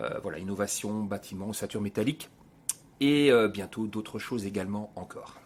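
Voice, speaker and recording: Speaking with a slight Belgian accent, a man talks at a fairly low pitch and a fairly quick pace with ordinary pitch variation. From Belgium (Binche, Hainaut). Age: 50s. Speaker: business owner. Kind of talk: podcast interview. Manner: hesitant, many fillers.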